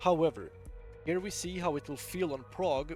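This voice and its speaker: A man is speaking at a moderate pace. Behind him, music plays. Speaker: gamer. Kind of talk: game guide commentary.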